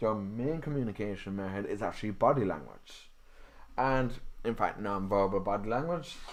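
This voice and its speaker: In an Irish accent, a man speaks at a moderate pace with a fairly low pitch. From Ireland. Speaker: podcast host and canine psychology student. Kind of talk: live stream talk on dog behaviour. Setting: live stream video. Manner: casual, with fillers.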